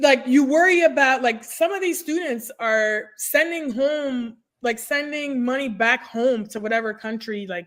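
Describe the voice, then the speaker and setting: Lively intonation and an animated tone in a French accent, at a fairly slow pace with hardly any pauses. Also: woman, high pitch for a woman. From immigrant, French-speaking background. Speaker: nurse career coach. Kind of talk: podcast interview.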